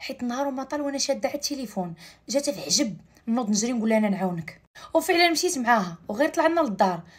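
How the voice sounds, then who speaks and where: A woman talks at a fairly quick pace with very wide pitch swings over a quiet background. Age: 20s. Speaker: storyteller. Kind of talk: narrated personal story. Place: home room. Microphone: phone near.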